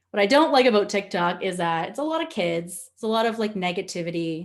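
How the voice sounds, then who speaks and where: A woman with a Nova Scotian accent speaks at a moderate pace and medium pitch, her intonation lively. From Nova Scotia, Canada. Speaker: social media trainer. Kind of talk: webinar presentation. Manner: animated.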